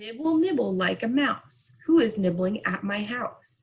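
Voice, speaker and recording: A woman uses a put-on character voice. It comes out shrill and fairly high-pitched. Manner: singsong, rhyming.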